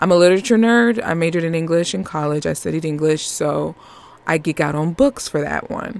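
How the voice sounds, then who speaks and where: Speaking with a New York accent, a woman talks at a fairly quick pace in a fairly low pitch with lively intonation. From Northeast US. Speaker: podcast host. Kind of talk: casual chat. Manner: animated.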